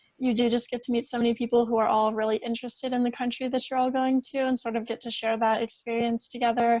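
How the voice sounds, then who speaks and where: A woman talks at a very fast pace in a flat, monotone delivery. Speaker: university student panelist. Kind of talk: panel presentation.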